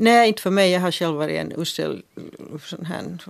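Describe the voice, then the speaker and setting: Speech moves at a moderate pace. The background is silent, and the recording very clean. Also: woman. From Finland, Helsinki (Swedish-speaking). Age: 50s. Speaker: journalist and author. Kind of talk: radio discussion. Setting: studio.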